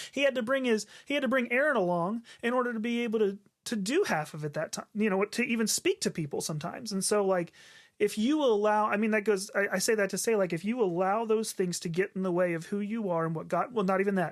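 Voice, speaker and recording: The speaker talks at a very fast pace with a slight Southern US accent and ordinary pitch variation. The recording is very clean, with a silent background. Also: man, high pitch for a man. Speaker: podcast co-host, worship leader. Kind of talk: casual chat. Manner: halting, many filler words.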